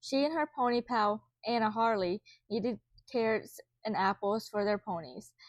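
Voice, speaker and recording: In a very clean recording with a silent background, a woman with a fairly high pitch speaks at a fairly slow pace, her sound dry and close with no echo. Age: 20s. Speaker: amateur reader. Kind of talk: children's book read-aloud.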